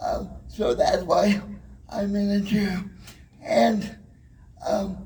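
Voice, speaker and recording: Through audible room echo and noticeable background noise, a man speaks at a very slow pace with long, frequent pauses. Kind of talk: motivational talk. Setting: stage with audience. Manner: halting.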